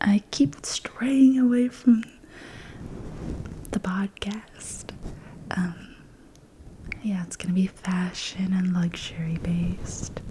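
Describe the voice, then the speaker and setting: Whispering at a very slow pace amid noticeable background noise. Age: 20s. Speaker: ASMR creator. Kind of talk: ASMR whisper ramble. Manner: whispered.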